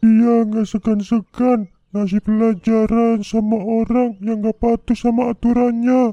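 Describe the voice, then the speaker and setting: A man performs a cartoonish character voice at an extremely high pitch. He moves at a fairly slow pace with monotone, flat intonation. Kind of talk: spoken storytelling.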